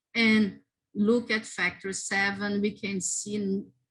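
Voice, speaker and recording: A woman talks at medium pitch with a non-native accent. The background is quiet. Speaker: immunology researcher, lab group coordinator. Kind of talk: conference talk; Q&A answer. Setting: virtual symposium. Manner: halting, with self-corrections.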